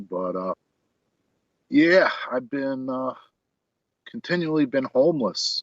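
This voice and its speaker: A man with a New York accent at a fairly slow pace. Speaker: homeless guest. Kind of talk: casual chat. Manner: hesitant, filler-heavy.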